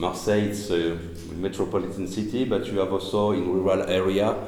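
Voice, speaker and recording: A man at a moderate pace with fairly even intonation and audible room echo. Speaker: cultural heritage activist. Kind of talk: presentation. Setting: panel at a castle with audience and interpretation. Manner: halting.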